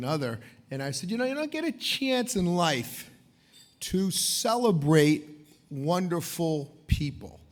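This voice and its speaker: In a room with audible echo, a man speaks with lively intonation. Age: 50s. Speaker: event co-host. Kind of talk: gala emcee speech. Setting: stage with audience at gala dinner. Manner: loud.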